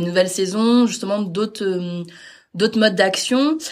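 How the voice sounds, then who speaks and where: Ordinary pitch variation from a woman, under noticeable background noise. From Normandy, France (Caen). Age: 30s. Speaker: cultural mediator. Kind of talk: interview. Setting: at the venue.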